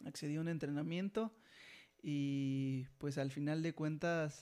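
Speaking very slowly, a man with a fairly high pitch keeps his intonation fairly even on a very clean recording with a silent background. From Mexico (Jilotepec). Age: 20s. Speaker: athlete. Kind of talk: casual interview. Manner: halting, many repeated words.

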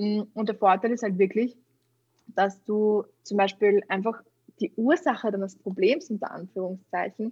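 A somewhat breathy woman's voice of medium pitch, with ordinary pitch variation and a moderate pace, in a dry, close sound with no echo. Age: 20s. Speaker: kinesiologist and mental trainer. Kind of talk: casual interview.

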